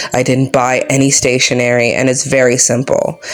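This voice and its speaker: A woman's very deep, low voice at a moderate pace, with noticeable background noise. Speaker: book journaling YouTuber. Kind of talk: casual craft tutorial vlog. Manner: monotone.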